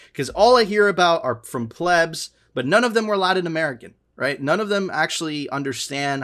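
A man is speaking. His pace is moderate. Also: very clean recording, silent background. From Miami, US. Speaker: podcast host. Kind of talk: casual chat.

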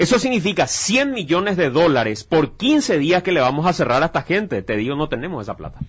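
A man's high voice with very wide pitch swings, a fairly quick pace and a quiet background. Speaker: radio host. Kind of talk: moderated debate.

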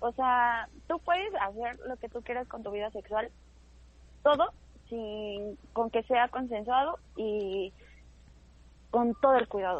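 A woman with a Mexican accent and a high voice speaks at a fairly slow pace, with long, frequent pauses. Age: 20s. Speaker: stand-up comedian. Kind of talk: casual chat. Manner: animated.

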